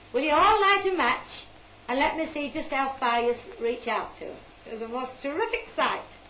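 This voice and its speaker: A raised, projected voice at a moderate pace swings very widely in pitch over noticeable background noise. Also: woman, high pitch for a woman. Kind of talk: interview answer.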